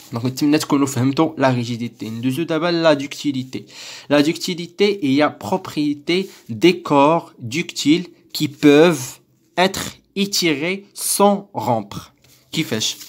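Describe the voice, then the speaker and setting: In a very clean recording with a silent background, the speaker talks at a fairly slow pace with a Moroccan accent. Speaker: teacher. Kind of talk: lecture explanation.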